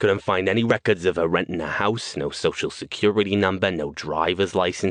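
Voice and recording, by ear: The pitch varies in an ordinary way as this person is reading aloud in a natural voice.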